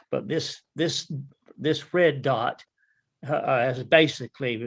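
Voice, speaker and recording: Against a quiet background, a man in a Southern US accent speaks with ordinary pitch variation. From northern Florida. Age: 70s. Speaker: turkey hunter and real estate appraiser. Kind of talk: casual chat. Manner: halting, repeats words.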